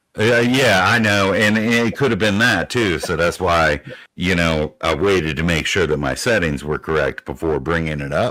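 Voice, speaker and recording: A loud man's voice, very deep and low, in a bright, sharp tone with lively intonation, at a moderate pace with hardly any pauses, on a very clean recording with a silent background. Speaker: viewer joining a livestream. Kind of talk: casual chat. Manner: hesitant, many fillers.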